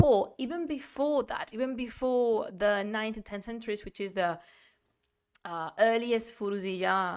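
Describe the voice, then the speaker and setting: A woman speaks with a Spanish accent at a fairly slow pace. Her tone is animated, her intonation lively, and the recording very clean with a silent background. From Spain. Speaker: history streamer. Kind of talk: live-streamed lecture. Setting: live stream.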